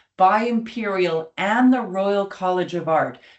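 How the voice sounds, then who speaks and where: A woman with an American accent speaks at medium pitch and a moderate pace. Her intonation is lively, with noticeable background noise. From United States. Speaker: academic, summer school co-director. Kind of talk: online information webinar presentation. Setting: webinar.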